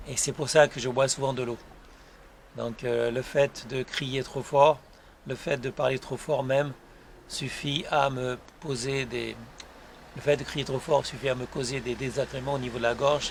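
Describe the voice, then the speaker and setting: Against noticeable background noise, a soft-spoken man talks at a fairly slow pace in a monotone, flat intonation, with long, frequent pauses. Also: medium pitch for a man. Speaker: YouTuber and author. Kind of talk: casual vlog monologue. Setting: outdoors on his terrace. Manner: hesitant, many fillers.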